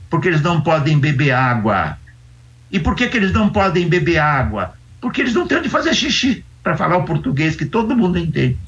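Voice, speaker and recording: A man with a high voice makes very wide pitch swings while his loudness stays very even. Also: fairly quick pace. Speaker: sociology professor. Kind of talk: interview. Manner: animated.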